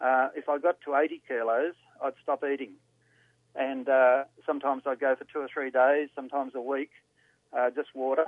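Speaking at a moderate pace with long, frequent pauses, a man with an Australian accent keeps a fairly high pitch and a monotone, flat intonation. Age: 70s. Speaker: caller. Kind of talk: casual phone call. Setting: phone call.

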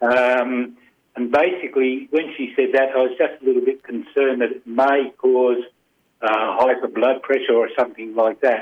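With an Australian accent, a man speaks in fairly even intonation. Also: medium pitch for a man, moderate pace. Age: 80s+. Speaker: caller. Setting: phone call.

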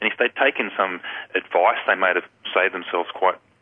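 A very fast-talking man with an Australian accent. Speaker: recruitment consultant. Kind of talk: radio interview. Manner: casual, hesitant.

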